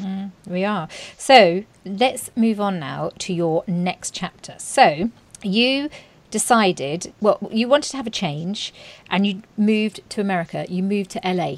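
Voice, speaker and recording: The tone is warm and enthusiastic, with a British accent. The pace is fairly slow and the pitch varies in an ordinary way. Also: woman, medium pitch for a woman. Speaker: podcast host, journalist turned author. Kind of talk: interview. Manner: warm, enthusiastic.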